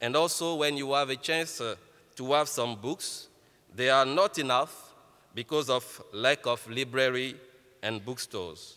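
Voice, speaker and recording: In an Ivorian accent, a man speaks fairly slowly at a medium pitch, with a bright, sharp tone and ordinary pitch variation. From Côte d'Ivoire. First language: French. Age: 30s. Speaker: entrepreneur. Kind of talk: keynote speech.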